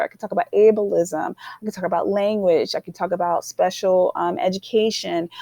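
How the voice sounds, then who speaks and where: In a dry, close recording with no echo, a woman speaks at a moderate pace with fairly even intonation, her medium-pitched voice dark and mellow in tone. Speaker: art teacher. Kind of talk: conference presentation. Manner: hesitant, many fillers.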